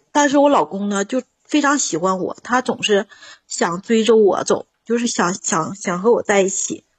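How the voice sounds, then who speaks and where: Somewhat breathy and fairly high-pitched, a woman speaks at a moderate pace with lively intonation. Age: 40s. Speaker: caller. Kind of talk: call-in advice chat. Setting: phone call. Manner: animated.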